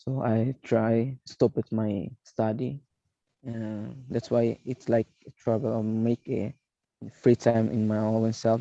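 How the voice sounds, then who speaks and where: The speaker has an East Timorese accent and a dark, mellow tone. The intonation is monotone and flat, and the sound is dry and close with no echo. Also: man. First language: not English. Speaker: English class participant. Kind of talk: casual conversation practice. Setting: video call. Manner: halting.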